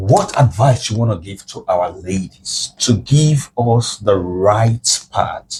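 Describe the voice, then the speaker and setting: Speaking at a very slow pace with hardly any pauses, a man with a fairly low pitch sounds somewhat breathy, his loudness swinging widely and his pitch varying in an ordinary way. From West Africa. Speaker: podcast host. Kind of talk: casual chat.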